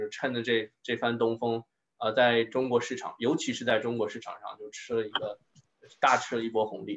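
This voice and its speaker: A man at medium pitch with fairly even intonation and a moderate pace. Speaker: wine scientist giving a talk. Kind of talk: Q&A discussion; online lecture. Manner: halting.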